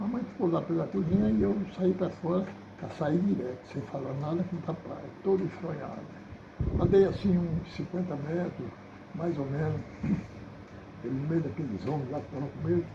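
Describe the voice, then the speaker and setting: A man talks at a moderate pace with a fairly high pitch and lively intonation. He leaves long, frequent pauses, and there is noticeable background noise. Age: 80s+. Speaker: accordion player. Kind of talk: storytelling about his youth.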